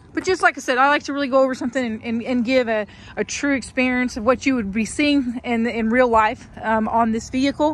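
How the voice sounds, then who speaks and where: At a fairly quick pace with hardly any pauses, a woman with a Southern accent speaks at a high pitch with ordinary pitch variation. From US South. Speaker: car seller. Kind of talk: vehicle walkaround video. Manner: hesitant, many fillers.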